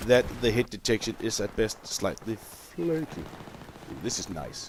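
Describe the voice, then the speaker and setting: Man of medium pitch with lively intonation over noticeable background noise. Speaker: gamer. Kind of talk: gameplay commentary. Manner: casual.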